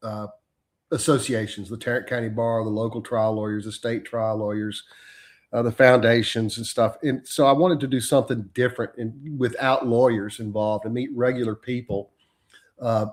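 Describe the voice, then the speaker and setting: The voice has a Texan accent, fairly even intonation, and a moderate pace. The recording is very clean, with a silent background. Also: man, medium pitch for a man. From Texas. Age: 60s. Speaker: trial lawyer. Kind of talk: interview conversation.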